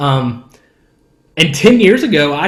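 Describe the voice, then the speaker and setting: Audible room echo around a man's fairly high-pitched voice. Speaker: worship leader. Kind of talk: podcast interview. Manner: casual, conversational.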